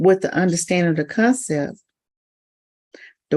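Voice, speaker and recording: A soft-spoken woman talks with ordinary pitch variation. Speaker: spiritual livestream host. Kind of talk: casual livestream talk. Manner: halting, many repetitions.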